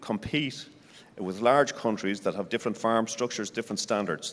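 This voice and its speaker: At a fairly quick pace, a man speaks at a medium pitch. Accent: Irish. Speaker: senior agriculture civil servant. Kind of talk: panel discussion.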